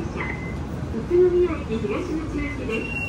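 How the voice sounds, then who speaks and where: The speech comes at a very slow pace with audible room echo. Loud background noise fills the recording. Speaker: recorded tram announcer. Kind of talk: transit announcement. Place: train.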